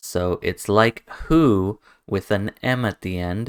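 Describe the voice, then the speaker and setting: On a very clean recording with a silent background and a dry, close sound with no echo, a man with a fairly low pitch and ordinary pitch variation speaks at a very slow pace. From Canada. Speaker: English pronunciation teacher. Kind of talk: tutorial. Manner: slow, deliberate word repetition.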